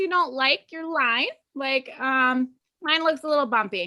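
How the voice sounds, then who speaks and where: A woman's raised, projected voice, high in pitch with a bright, sharp tone, ordinary pitch variation and a fairly slow pace. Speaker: painting instructor. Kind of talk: tutorial. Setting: live video call.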